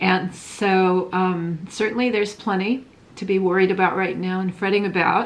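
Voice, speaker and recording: Against noticeable background noise, a woman speaks at a moderate pace with monotone, flat intonation. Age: 60s. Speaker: craft vlogger. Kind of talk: casual vlog monologue. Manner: rambling, hesitant with many fillers.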